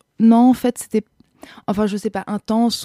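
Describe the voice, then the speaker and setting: Heard in a dry, close sound with no echo, a woman speaks at a fairly high pitch with a dark, mellow tone. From Austria (Vienna). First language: German (speaking French). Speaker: actress and screenwriter. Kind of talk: interview. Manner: hesitant, many fillers and repetitions.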